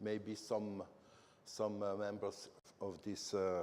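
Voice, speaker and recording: A man with a French accent speaks at a fairly slow pace in a fairly low pitch. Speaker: company manager presenting. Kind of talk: conference presentation. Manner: halting, many fillers.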